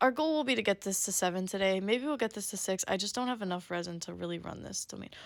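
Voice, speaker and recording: A woman's animated, medium-pitched voice with lively intonation at a very fast pace, on a very clean recording with a silent background. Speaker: gaming streamer. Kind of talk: gameplay commentary. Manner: casual, animated.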